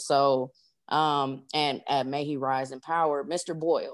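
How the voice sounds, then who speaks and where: A woman with an American accent, a very deep, low pitch and fairly even intonation, in a very clean recording with a silent background. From Los Angeles, California. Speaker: author and technical analyst. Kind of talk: casual interview.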